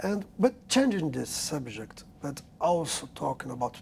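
Someone speaks very slowly with a Portuguese accent. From Brazil. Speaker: magazine journalist interviewer. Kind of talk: interview.

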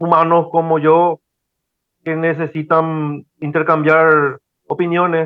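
Fairly high for a man, his voice stays monotone and flat throughout. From Paraguay. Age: 40s. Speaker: operations manager and online course student. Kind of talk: mentoring conversation. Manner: halting, many fillers.

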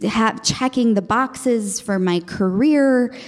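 Over noticeable background noise, a woman speaks very slowly with ordinary pitch variation. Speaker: storyteller and actress. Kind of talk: casual interview chat.

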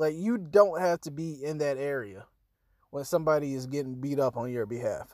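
A man speaks in an animated tone at a moderate pace, with a fairly high pitch and ordinary pitch variation. The recording is very clean, with a silent background. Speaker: podcast host. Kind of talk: comedy rant, casual profanity-laden riff on Kevin Hart's audiobook. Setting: home-recorded solo podcast. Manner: animated, exasperated and self-mocking, swearing freely, punchy.

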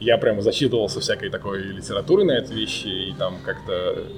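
A man is heard talking through noticeable background noise. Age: 30s. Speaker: data scientist. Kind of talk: casual chat.

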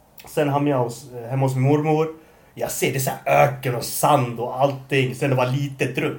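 Monotone, flat delivery from a man at medium pitch and a moderate pace, with audible room echo. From Norway, moved to Sweden at 12. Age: 20s. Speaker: podcast host. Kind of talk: casual chat.

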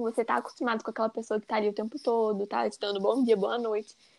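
An unremarkable speaking voice from a woman, fairly high in pitch with fairly even intonation and a fairly quick pace, in a dry, close sound with no echo on a very clean recording with a silent background. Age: 20s. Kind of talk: casual chat.

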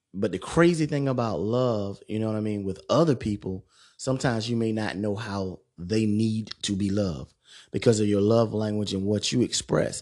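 With a plain, everyday voice, a man speaks at a moderate pace and a fairly low pitch, with ordinary pitch variation against a quiet background. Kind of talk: solo monologue podcast.

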